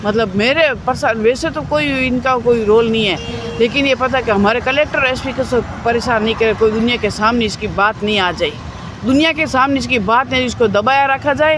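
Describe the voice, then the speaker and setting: A high-pitched woman's voice over noticeable background noise. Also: ordinary pitch variation. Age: 60s. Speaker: protester. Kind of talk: interview. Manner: emotional.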